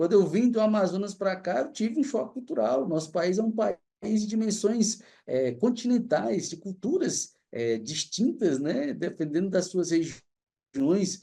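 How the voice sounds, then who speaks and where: With a Cearense accent, a man speaks in a dark, mellow tone at a fairly slow pace. His pitch swings very widely over a quiet background. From Fortaleza, Ceará, Brazil. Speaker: anthropology professor. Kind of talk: lecture. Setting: livestream.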